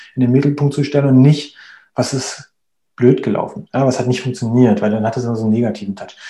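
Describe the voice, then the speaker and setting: The man has a medium pitch and a dark, mellow tone. His voice is somewhat breathy. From Berlin, Germany. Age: 30s. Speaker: agile coach. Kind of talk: interview. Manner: hesitant, many fillers.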